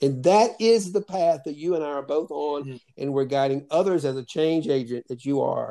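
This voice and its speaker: A man speaks in a normal speaking voice, fairly high in pitch with ordinary pitch variation. His pace is moderate, with hardly any pauses. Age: 60s. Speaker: podcast host. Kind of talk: calm guided conversation with meditation. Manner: warm, reflective, spiritual.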